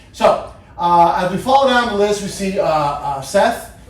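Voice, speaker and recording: Here a man speaks at a high pitch. There is audible room echo along with noticeable background noise. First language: not English. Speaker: fantasy football podcast host. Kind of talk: casual podcast monologue. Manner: halting, many repeated words.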